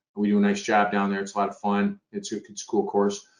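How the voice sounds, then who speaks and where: An American accent marks this man's normal speaking voice. He talks fairly quickly with fairly even intonation. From Michigan, Detroit. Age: 60s. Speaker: dentist and educator. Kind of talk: webinar panel chat. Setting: online webinar.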